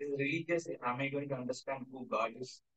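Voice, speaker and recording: Nothing much is heard in the background while the man talks. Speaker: spiritual teacher. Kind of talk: lecture. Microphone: camera far.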